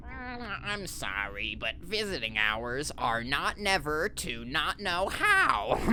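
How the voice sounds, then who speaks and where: Against clear background noise, a man puts on a character voice, fairly high in pitch, and speaks at a very slow pace. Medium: audio drama. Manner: muddled, easygoing.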